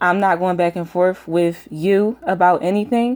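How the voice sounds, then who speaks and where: A woman's medium-pitched voice with a US Northeastern accent and fairly even intonation. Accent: US Northeast. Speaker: YouTube commentator. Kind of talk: casual vlog rant. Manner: frequent fillers (um).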